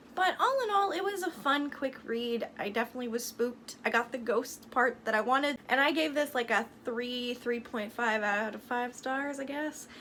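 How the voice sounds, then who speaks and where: With noticeable background noise, a high-pitched woman speaks at a moderate pace with ordinary pitch variation and hardly any pauses. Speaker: book vlogger. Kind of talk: casual review monologue. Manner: animated.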